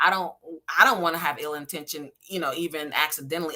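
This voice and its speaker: Speaking at a very fast pace, this woman rushes along. Her pitch is fairly low. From United States. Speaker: podcast host. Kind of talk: casual chat. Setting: live stream.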